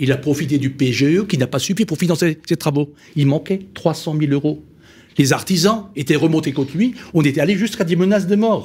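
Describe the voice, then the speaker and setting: A man with an Alsatian accent speaks at a fairly quick pace and a fairly high pitch. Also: ordinary pitch variation. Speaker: business financing company founder, panelist. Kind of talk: panel discussion.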